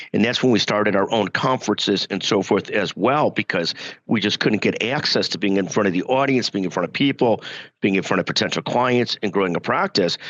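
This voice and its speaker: Talking at a fairly quick pace, a man with a fairly low pitch uses ordinary pitch variation, the sound dry and close with no echo. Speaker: healthcare lawyer and media founder. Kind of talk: interview conversation.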